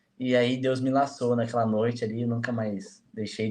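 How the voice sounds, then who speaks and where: Speaking at a moderate pace, a man with a medium-pitched voice keeps a monotone, flat intonation throughout. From Jacareí, interior of São Paulo, Vale do Paraíba. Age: 20s. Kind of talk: casual interview chat.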